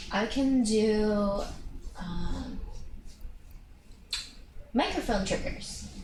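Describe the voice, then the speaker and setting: Against noticeable background noise, a woman talks at a very slow pace in a fairly high pitch with ordinary pitch variation and long, frequent pauses. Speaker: ASMR creator. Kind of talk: casual talk to camera, ASMR. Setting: indoors on a borrowed quiet space with a binaural mic.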